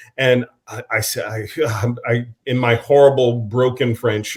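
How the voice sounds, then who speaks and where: Somewhat breathy in quality, this voice keeps a fairly even intonation. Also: man. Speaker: actor. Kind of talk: interview.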